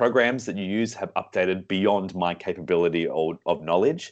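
A moderate pace and ordinary pitch variation, with an Australian accent, against a quiet background. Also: man. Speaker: singer and vocal director. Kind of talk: casual interview. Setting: remote call.

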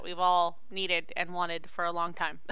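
A woman talks at a moderate pace in a bright, sharp tone. There is audible room echo. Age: 30s. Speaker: podcast co-host. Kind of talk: casual chat.

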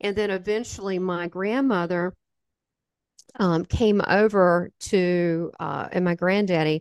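With a Southern US accent, a woman speaks at a fairly slow pace with ordinary pitch variation, in a dry, close sound with no echo and a quiet background. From US South. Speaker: spiritual medium. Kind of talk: interview testimony.

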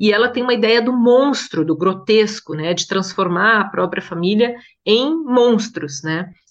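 Speaking in a plain, everyday voice, a woman with a fairly high pitch uses lively intonation at a fairly slow pace. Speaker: translator and journalist. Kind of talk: casual interview chat.

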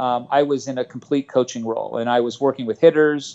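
A man with an unremarkable speaking voice and an American accent talks at a fairly quick pace and a fairly high pitch, with fairly even intonation. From Los Angeles, San Fernando Valley. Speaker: softball coach. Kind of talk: interview.

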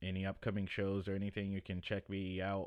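A man with an ordinary speaking voice talks at a moderate pace, his pitch fairly low. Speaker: podcast host and comedian. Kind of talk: casual monologue.

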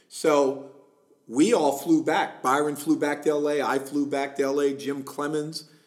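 A plain, everyday voice is heard. It keeps to a moderate pace. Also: man. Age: middle-aged. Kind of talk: casual interview.

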